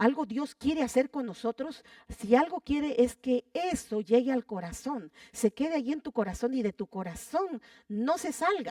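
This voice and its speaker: With lively intonation and a high pitch, a woman talks at a fairly slow pace in a dry, close sound with no echo. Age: 80s+. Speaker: pastor. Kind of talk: sermon.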